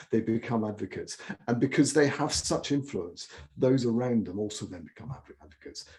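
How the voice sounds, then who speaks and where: The voice has a dark, mellow tone, somewhat breathy, moving at a fairly quick pace with big swings in loudness and ordinary pitch variation. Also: man, medium pitch for a man. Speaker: M&A integration consultant. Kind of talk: webinar masterclass talk. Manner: fast; animated.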